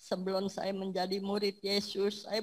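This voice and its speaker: A somewhat breathy female voice. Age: 70s. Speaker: church member giving testimony. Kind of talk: testimony.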